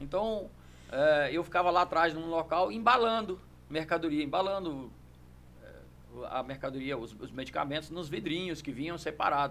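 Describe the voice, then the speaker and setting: A man speaks at a moderate pace in a fairly high voice, with ordinary pitch variation and big swings in loudness. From Brazil, Brasília area (Sobradinho). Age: 60s. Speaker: judo master and champion. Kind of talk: podcast interview. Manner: hesitant, repeats words.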